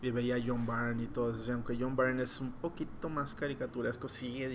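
A man speaks at a medium pitch. Audible room echo surrounds his voice. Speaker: comic book artist. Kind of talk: interview.

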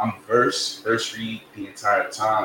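Noticeable background noise sits behind a man talking with an American accent. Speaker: rapper and music artist. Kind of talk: casual interview chat.

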